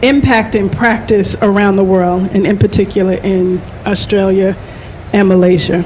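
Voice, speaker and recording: With an American accent, a woman speaks at a moderate pace and very even loudness against noticeable background noise. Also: medium pitch for a woman, fairly even intonation. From United States. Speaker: panel moderator. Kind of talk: panel discussion moderation. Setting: live event with in-room and online audience.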